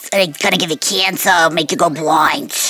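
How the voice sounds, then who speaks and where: A woman puts on a raspy character voice, fairly low for a woman, at a moderate pace. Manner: scolding, warning.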